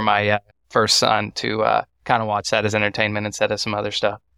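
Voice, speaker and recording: A man speaks with an American accent. His tone is bright and sharp, and the sound is dry and close with no echo. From Texas, Waco. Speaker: first-generation cattle farmer. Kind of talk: casual interview.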